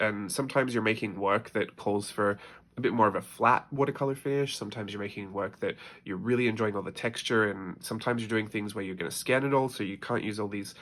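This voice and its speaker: Speaking at a very fast pace with an Australian accent, a man uses ordinary pitch variation. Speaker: artist. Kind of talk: casual talk to camera. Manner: chatty.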